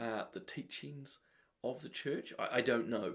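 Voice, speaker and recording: The speaker talks at a moderate pace in a New Zealand accent. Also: man. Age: middle-aged. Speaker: talk show host. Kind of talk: live show commentary. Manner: casual, with many fillers.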